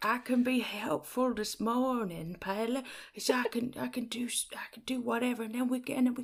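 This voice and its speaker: A woman's put-on character voice, high in pitch, with long, frequent pauses. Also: moderate pace. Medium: actual play. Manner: affected, self-satisfied.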